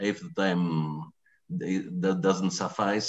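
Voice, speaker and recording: Against a quiet background, a man speaks with a Greek accent. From Greece. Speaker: professor. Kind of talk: lecture. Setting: video call. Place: home room. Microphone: video call.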